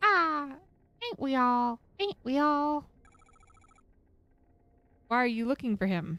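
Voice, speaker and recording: In a put-on character voice with a playful tone, the speaker goes fairly slowly, pitch swinging very widely between long, frequent pauses. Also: woman, high pitch for a woman. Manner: crazy, playful.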